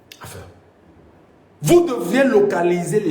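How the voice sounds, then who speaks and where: Noticeable background noise and audible room echo surround a man speaking at a fairly slow pace. His tone is animated, with lively intonation. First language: Mbimba (Cameroonian language) (speaking French). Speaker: political commentator. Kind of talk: political monologue.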